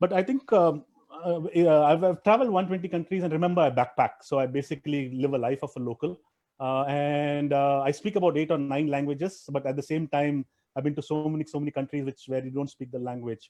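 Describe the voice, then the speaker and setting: A man with a Tamil accent talks at a fairly quick pace and fairly high pitch. His tone is dark and mellow, with ordinary pitch variation. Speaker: private equity investor and traveler. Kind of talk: interview. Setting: live video stream. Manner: halting, many fillers and restarts.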